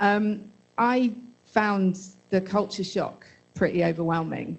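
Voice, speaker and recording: In a British accent, a woman speaks at a moderate pace. Her intonation is fairly even. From Britain. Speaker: audience member. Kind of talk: audience question. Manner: halting.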